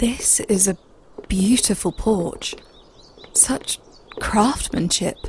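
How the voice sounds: A woman puts on a character voice at a medium pitch, speaking at a very slow pace with ordinary pitch variation, a slightly mellow tone and a husky, rough edge.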